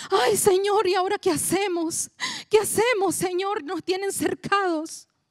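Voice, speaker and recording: A woman puts on a whiny character voice at an extremely high pitch and a moderate pace. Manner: panicked, anxious, whiny.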